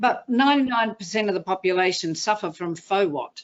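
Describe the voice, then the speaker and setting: With an Australian accent, a woman speaks in lively intonation. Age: 60s. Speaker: motivational speaker. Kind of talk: interview.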